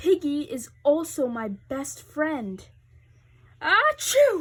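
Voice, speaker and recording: A high-pitched, put-on character voice. It moves at a very slow pace. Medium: read story. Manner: anxious, overdramatic.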